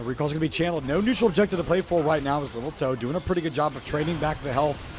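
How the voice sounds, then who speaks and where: Music plays in the background as a man talks. He goes at a very fast pace with ordinary pitch variation. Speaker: esports caster. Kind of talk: live commentary.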